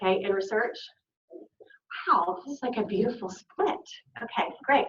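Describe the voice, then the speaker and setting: In an American accent, a woman speaks at a fairly high pitch and a moderate pace, with audible room echo. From US South, Arkansas. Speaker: health literacy researcher, invited speaker. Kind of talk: conference lecture. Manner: animated.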